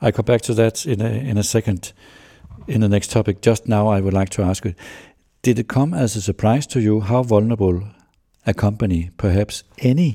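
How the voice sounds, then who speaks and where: In a Danish accent, a man with a fairly low pitch, a dark, mellow tone and a somewhat breathy quality speaks at a fairly quick pace with ordinary pitch variation, in a dry, close sound with no echo on a very clean recording with a silent background. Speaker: business journalist, podcast host. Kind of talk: interview.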